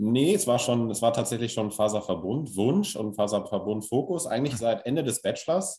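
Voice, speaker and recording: A man's dark, mellow tone, somewhat breathy, at a moderate pace with hardly any pauses. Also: medium pitch for a man, lively intonation. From northern Germany, Lower Saxony (Stade district). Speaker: engineer and cluster managing director. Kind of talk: interview.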